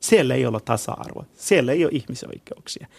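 Over a quiet background, a man with a Kurdish accent speaks with vocal fry and very wide pitch swings. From Iran. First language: Kurdish (speaking Finnish). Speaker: Middle East researcher and consultant. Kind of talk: discussion.

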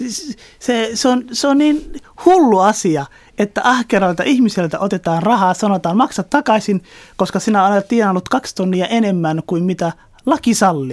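At a moderate pace, a man with a high-pitched voice speaks with lively intonation in a dry, close sound with no echo. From Somalia. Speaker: politician. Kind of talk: interview. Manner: hesitant, many fillers.

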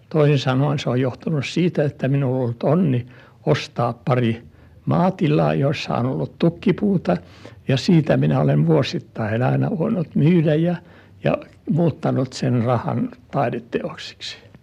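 A man with a dark, mellow tone and vocal fry speaks at a fairly slow pace, his pitch swinging very widely. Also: medium pitch for a man. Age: 80s+. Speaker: art collector. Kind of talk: interview. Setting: at home.

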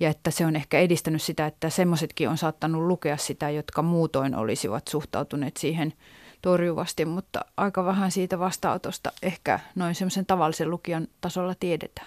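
This woman has an ordinary speaking voice with a fairly low pitch. The sound is dry and close, with no echo. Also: fairly even intonation. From Finland, urban. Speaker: novelist. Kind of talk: interview.

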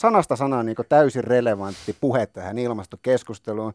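A man with an unremarkable speaking voice talks at a fairly quick pace in a medium pitch with ordinary variation. The recording is very clean, with a silent background. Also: dry, close sound with no echo. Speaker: radio host. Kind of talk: radio interview.

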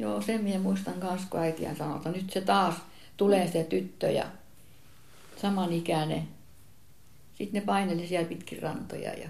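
A woman's voice with vocal fry and lively intonation, at a moderate pace with long, frequent pauses, in audible room echo. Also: fairly low pitch for a woman. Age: 80s+. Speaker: relative of the grandfather. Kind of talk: casual reminiscing conversation.

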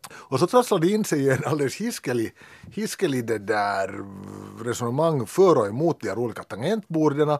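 A man's fairly high voice at a fairly quick pace, with very wide pitch swings and a dry, close sound with no echo. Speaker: teacher. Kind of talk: casual chat.

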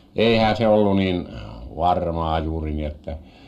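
The man talks very slowly. His pitch moves in ordinary ways. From Finnish Lapland, Muonio. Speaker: farmer and fisherman. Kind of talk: radio interview.

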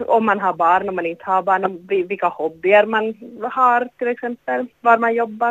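Her pitch is fairly high, and she is a woman speaking at a moderate pace. The pitch variation is ordinary. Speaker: novelist. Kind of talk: interview. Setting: phone call. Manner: halting. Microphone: poor phone line.

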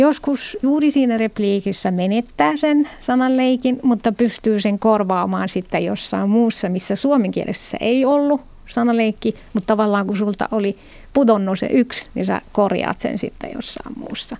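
This woman has a fairly high pitch and a dark, mellow tone, speaking at a fairly slow pace with ordinary pitch variation. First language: Arabic (Moroccan) (speaking Finnish). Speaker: literary translator. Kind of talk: interview.

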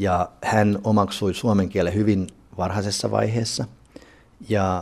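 A man talks very slowly at a fairly low pitch, his intonation flat and monotone. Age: 40s. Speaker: art museum director. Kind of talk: interview.

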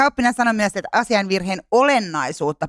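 Words rush out very fast. There is no background sound at all, and the recording is very clean. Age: 30s. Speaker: podcast co-host. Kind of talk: casual chat about media.

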